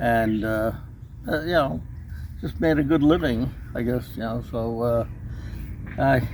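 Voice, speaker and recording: Amid noticeable background noise and audible room echo, a man speaks fairly slowly at a medium pitch, with ordinary pitch variation and long, frequent pauses. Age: 70s. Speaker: car owner, retired rug businessman. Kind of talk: casual interview. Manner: hesitant, many fillers.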